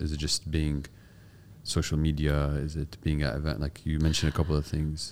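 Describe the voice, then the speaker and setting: A man with a very deep, low pitch speaks at a fairly quick pace in a monotone, flat intonation. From US-born, raised in UAE, Palestinian heritage. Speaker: podcast host and startup founder. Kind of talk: interview.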